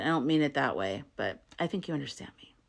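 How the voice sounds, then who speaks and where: This very clean recording has a silent background. A woman speaks at a moderate pace with lively intonation. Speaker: astrology content creator. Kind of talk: casual talk-to-camera explainer. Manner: animated.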